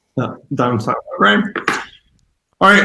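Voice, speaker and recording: The voice is loud, with a bright, sharp tone and an American accent. Its pitch swings very widely. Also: man. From US Midwest. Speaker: yeast company representative. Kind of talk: presentation. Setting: video call.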